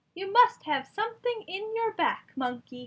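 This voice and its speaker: A woman does a squeaky, put-on character voice. Its pitch is extremely high. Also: moderate pace. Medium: read story.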